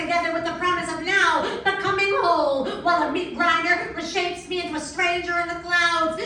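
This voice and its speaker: Over noticeable background noise, a woman with an American accent speaks at a moderate pace in a raised, projected voice of extremely high pitch. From New York City. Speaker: poet and activist. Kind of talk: slam poetry performance.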